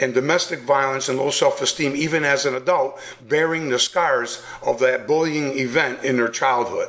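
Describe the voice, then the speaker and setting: Noticeable noise sits under a man's voice as he talks at a moderate pace. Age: 60s. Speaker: bullying prevention speaker and author. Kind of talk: radio interview.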